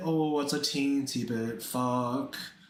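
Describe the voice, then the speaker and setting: Audible room echo surrounds a man who talks at a very slow pace with a fairly high pitch. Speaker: art streamer. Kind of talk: casual livestream chat. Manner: halting, repetitive fillers.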